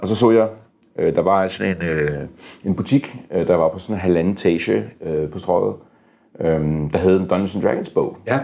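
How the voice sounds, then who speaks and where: Very deep and low, this man's voice has a dark, mellow tone and ordinary pitch variation. He talks at a moderate pace with long, frequent pauses. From Denmark, moved from US at age four. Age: 50s. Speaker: board game publisher. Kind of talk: interview. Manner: halting, many fillers and repeated words.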